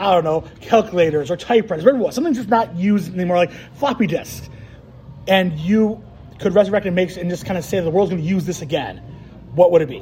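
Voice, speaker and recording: A high-pitched man at a very fast pace, with lively intonation over noticeable background noise. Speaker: podcast co-host. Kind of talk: casual chat. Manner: animated, jokey.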